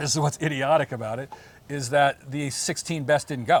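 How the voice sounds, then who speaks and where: A man at a fairly quick pace, with a dry, close sound and no echo. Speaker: former pro beach volleyball player. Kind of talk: podcast interview. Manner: fast; animated, halting repetitions.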